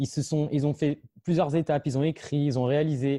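Dark, mellow tone from a man, dry and close with no echo, against a quiet background. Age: 20s. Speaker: association founder, video maker. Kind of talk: interview.

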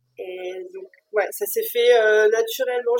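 The sound is dry and close, with no echo. A woman speaks very slowly. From France. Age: 30s. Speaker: mother sharing birth experience. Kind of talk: testimony. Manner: halting, many repetitions and fillers.

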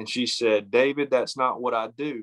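Speaking with an Appalachian accent, a man keeps a moderate pace and fairly even intonation at medium pitch, in a dry, close sound with no echo and a quiet background. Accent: Southern Appalachian US. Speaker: novelist. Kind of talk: interview. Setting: phone call.

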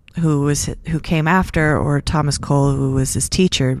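A woman speaks in a very deep, low voice with fairly even intonation, recorded very cleanly against a silent background. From California. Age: 30s. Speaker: painter. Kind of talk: podcast monologue on art.

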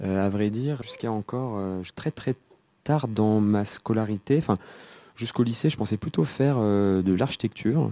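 With a dark, mellow tone and fairly low pitch, a man talks at a moderate pace with ordinary pitch variation and long, frequent pauses, the sound dry and close with no echo. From western France, near Nantes. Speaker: PhD student. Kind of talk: interview.

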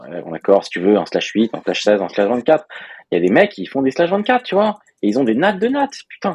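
The voice makes very wide pitch swings at a moderate pace, heard in a dry, close sound with no echo. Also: man, medium pitch for a man. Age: 30s. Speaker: software developer, podcast co-host. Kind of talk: casual chat.

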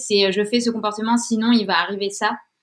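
A woman speaks with a fairly high pitch. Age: 30s. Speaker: freelance communications writer sharing a health story. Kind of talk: testimony.

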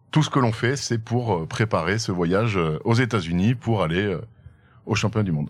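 Recorded very cleanly with a silent background, a man speaks at a moderate pace. His fairly low voice shows ordinary pitch variation. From France, Haute-Loire. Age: 30s. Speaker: entrepreneur and barbecue team founder. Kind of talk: casual interview. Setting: outdoors in the countryside.

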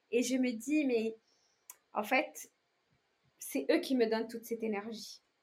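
The pace is fairly slow, with long, frequent pauses. Pitch variation is ordinary. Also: woman, fairly high pitch for a woman. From outside France. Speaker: entrepreneur, founder of a luxury shoe brand. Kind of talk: interview. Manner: halting, many repetitions and fillers; energetic, upbeat.

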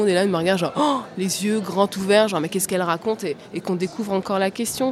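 Noticeable background noise sits behind a woman speaking. Her pitch is medium, with ordinary variation. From France, working-class suburbs. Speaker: TV journalist. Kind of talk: panel discussion. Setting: live recording at a journalism festival. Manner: halting, repeats words.

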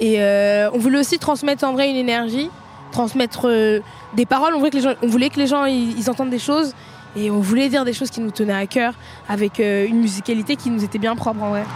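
Amid noticeable background noise, a woman speaks fairly quickly at a fairly high pitch with ordinary pitch variation. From Seine-Saint-Denis, Paris suburbs. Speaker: rapper. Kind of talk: post-concert interview.

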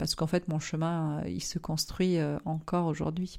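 A woman has an ordinary speaking voice with a fairly low pitch and fairly even intonation. She speaks at a moderate pace on a very clean recording with a silent background. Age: 30s. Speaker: marketing consultant and entrepreneur. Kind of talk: interview.

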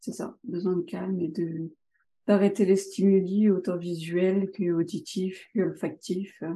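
Her tone is dark and mellow, somewhat breathy, with fairly even intonation as the woman speaks at a very slow pace. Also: medium pitch for a woman. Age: 30s. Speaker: trainee sophrologist. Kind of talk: interview testimony.

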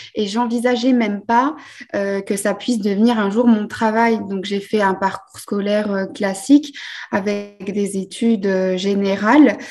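A woman speaks at a very slow pace, her medium-pitched voice keeping a fairly even intonation. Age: 30s. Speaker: vintage furniture restorer. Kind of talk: casual chat.

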